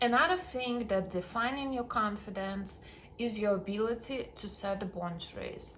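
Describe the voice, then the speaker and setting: In a strong Russian accent, a woman with a fairly high voice speaks at a moderate pace, with noticeable background noise and audible room echo. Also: lively intonation. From Russian-speaking background. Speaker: dating and confidence coach. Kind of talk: self-help talk to camera.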